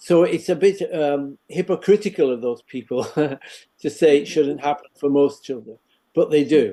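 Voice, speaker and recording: The man's voice is dark and mellow, pitched fairly high, with ordinary pitch variation. He keeps a moderate pace. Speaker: education professor. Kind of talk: interview. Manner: hesitant, many fillers.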